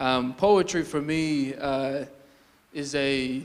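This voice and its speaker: This is a man talking. His pitch sits fairly high. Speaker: spoken word poet. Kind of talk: casual talk to live audience.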